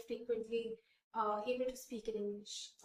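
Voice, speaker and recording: A woman's fairly high, monotone voice with flat intonation, at a moderate pace, in an Indian accent. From India, Kota (Rajasthan). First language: Hindi. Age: 20s. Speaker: beauty pageant winner. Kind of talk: interview.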